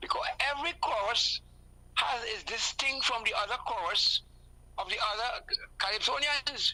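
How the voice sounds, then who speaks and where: Her pitch is high and her intonation lively. The woman keeps a moderate pace, broken by long, frequent pauses. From Trinidad and Tobago. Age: 70s. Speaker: calypsonian musician. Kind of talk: live interview. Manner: halting, repetitive.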